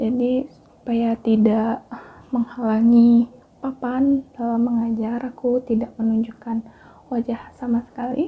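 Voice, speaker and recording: A woman talks at a very slow pace in a high pitch. Her tone is dark and mellow, and her intonation is monotone and flat. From Bali, Indonesia (Denpasar). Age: 20s. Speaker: educational YouTuber, astronomy teacher. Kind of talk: casual personal vlog.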